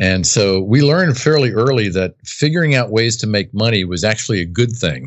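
A man with an ordinary speaking voice talks at a fairly low pitch and a fairly quick pace, with lively intonation and hardly any pauses. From US East Coast, near Washington DC. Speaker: business coach. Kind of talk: interview.

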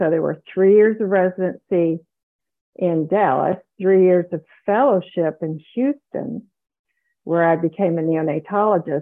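With an American accent, a woman with a fairly low pitch and ordinary pitch variation talks at a fairly slow pace with long, frequent pauses. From US South. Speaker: retired neonatologist and author. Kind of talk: interview conversation.

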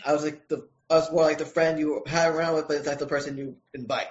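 A man with an American accent, fairly high in pitch, at a moderate pace. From Brooklyn, New York. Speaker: comic book writer. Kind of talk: casual interview chat.

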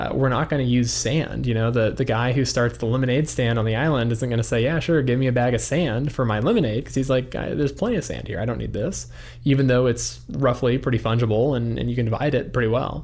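A man with a medium pitch and vocal fry talks at a very fast pace. He leaves hardly any pauses, and his intonation stays fairly even. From New Mexico, Albuquerque. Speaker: Bitcoin educator and investor. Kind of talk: interview. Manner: hesitant, many fillers.

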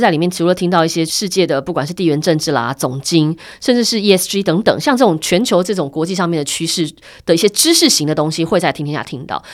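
Here a woman talks at a fairly quick pace. Her pitch is fairly low. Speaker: media director and podcast host. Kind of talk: casual interview.

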